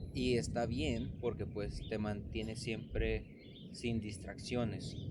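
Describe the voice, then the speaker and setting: Audible room echo surrounds a man speaking at a very slow pace. His voice sits fairly low and carries vocal fry. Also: ordinary pitch variation. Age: 30s. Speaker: vlogger and barber. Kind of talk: reflective vlog monologue.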